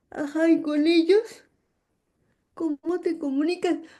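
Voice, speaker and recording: A woman speaks at an extremely high pitch with a dark, mellow tone. Her pace is very slow and her intonation fairly even. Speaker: university professor and sign language advocate. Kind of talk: interview conversation.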